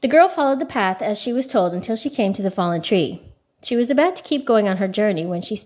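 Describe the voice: Against a quiet background, the speaker reads aloud plainly with lively intonation.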